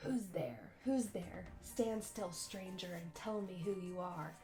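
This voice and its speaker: A woman puts on a growling character voice at a medium pitch. She speaks at a fairly slow pace over clear background noise. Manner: menacing, demanding.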